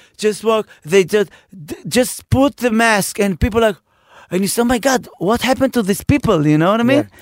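A man with an Israeli accent, high in pitch, at a moderate pace, with ordinary pitch variation, big swings in loudness, and a dry, close sound with no echo. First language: Hebrew. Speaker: comedian and podcast host. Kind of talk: casual chat.

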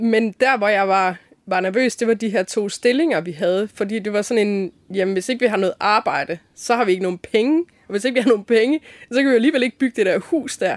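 A woman talks fairly quickly at a fairly high pitch with ordinary pitch variation, in a very clean recording with a silent background. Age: 40s. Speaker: designer and folk high school teacher. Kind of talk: interview. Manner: hesitant, many fillers.

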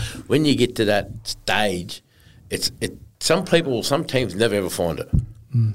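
This man speaks at a moderate pace with a medium pitch. His intonation is lively. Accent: Australian. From north-western New South Wales, Australia. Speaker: former rugby league player. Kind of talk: casual interview.

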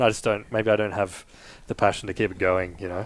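With an Australian accent, a man talks at a fairly quick pace in a fairly low pitch. His loudness swings widely. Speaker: podcast guest.

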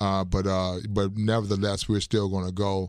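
In a flat, monotone delivery at a moderate pace, a man with a fairly low pitch speaks with an American accent on a very clean recording with a silent background. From Chicago, Illinois. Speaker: basketball coach and senior athlete. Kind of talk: casual interview and faith testimony. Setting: radio studio.

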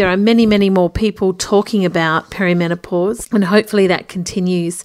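This woman speaks in an Australian accent. Her pitch is medium. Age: 50s. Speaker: podcast host and journalist. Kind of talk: interview podcast.

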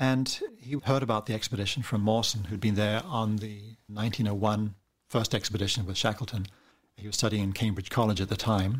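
Somewhat breathy, a man talks at a fairly quick pace in a New Zealand accent. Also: fairly even intonation. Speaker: cartoonist and author. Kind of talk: interview.

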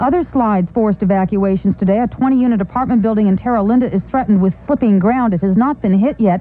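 Over noticeable background noise, a woman talks at a very fast pace with a medium pitch and lively intonation. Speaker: radio news reporter. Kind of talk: radio news report. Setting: radio newsroom. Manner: brisk, formal, urgent.

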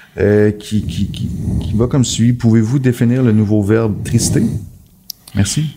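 A man speaks at a fairly slow pace in a fairly low pitch, his intonation fairly even over noticeable background noise. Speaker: podcast co-host. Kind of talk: casual chat.

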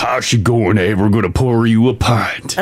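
A man's raspy, put-on character voice at medium pitch and a moderate pace, over light background noise. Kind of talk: casual, friendly.

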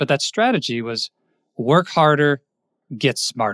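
A plain, everyday voice from a man, fairly high-pitched with lively intonation, dry and close with no echo against a quiet background. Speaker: podcast guest, career coach. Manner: warm, conversational storyteller.

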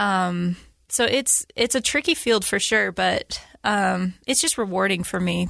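A woman with an American accent speaks at a fairly slow pace. The background is quiet. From Utah. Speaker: painter. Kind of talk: interview conversation.

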